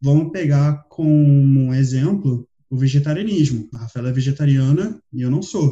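Hardly pausing, a man with a dark, mellow, somewhat breathy voice speaks at a fairly high pitch and a moderate pace with ordinary pitch variation. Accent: Rio de Janeiro. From Brazil, Rio de Janeiro. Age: 20s. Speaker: podcast co-host. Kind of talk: casual chat.

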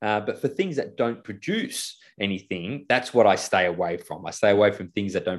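Against a quiet background, a man with an Australian accent talks at a moderate pace and a fairly low pitch, with ordinary pitch variation and hardly any pauses. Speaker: financial business co-founder and property investor. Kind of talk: casual interview chat.

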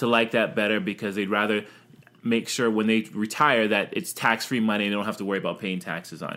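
The tone is bright and sharp as a man talks at a very fast pace. His pitch is fairly low, with ordinary variation. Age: young. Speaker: podcast co-host. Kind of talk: casual chat.

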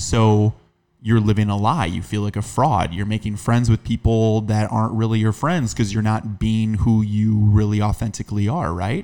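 Dark and mellow in tone, a man's fairly low voice moves at a moderate pace with ordinary pitch variation. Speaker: podcast host. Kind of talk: casual chat.

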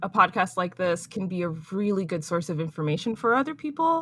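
A woman with an American accent talks in a plain, everyday voice at medium pitch and with lively intonation. The recording is very clean, with a silent background. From US. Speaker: podcast host, 3D environment artist. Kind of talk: casual chat.

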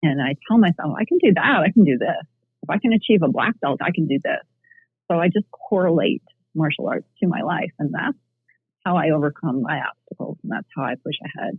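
Using a plain, everyday voice, a woman speaks at a fairly quick pace with lively intonation and a fairly low pitch. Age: 50s. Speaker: martial arts instructor and life coach. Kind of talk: casual interview.

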